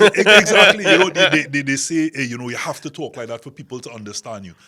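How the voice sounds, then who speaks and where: Talking at a very fast pace, a man moves through very wide pitch swings. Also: fairly high pitch for a man, big swings in loudness. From Trinidad and Tobago. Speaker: talk show host. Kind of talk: panel discussion.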